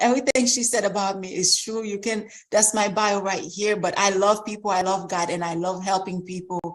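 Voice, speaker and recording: A woman at medium pitch, talking at a fairly quick pace with hardly any pauses over noticeable background noise. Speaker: credit repair coach at an expo. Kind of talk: expo presentation via livestream. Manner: animated.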